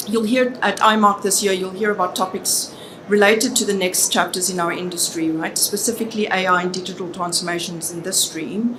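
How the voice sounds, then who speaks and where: A woman with a South African accent speaks at a moderate pace and medium pitch, her intonation fairly even. Noticeable background noise and audible room echo fill the recording. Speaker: business consultant. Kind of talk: conference presentation.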